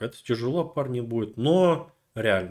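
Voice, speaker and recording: Recorded very cleanly with a silent background, a man at a medium pitch speaks with lively intonation. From Russia, rural. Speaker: video blogger. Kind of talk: casual monologue. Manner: animated.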